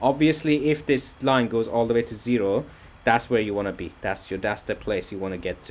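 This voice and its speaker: This is a man speaking. His pitch sits fairly low. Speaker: workshop instructor. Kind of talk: lecture. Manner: fast.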